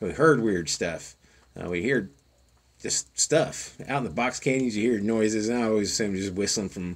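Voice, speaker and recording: A fairly low-pitched man talks with a Southern Plains accent. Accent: Southern Plains American. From Oklahoma Panhandle. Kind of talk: storytelling. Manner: casual, rambling.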